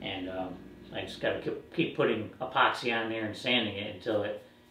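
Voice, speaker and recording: A man speaks at a moderate pace amid light background noise and audible room echo. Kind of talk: tutorial. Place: workshop. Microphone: camera far.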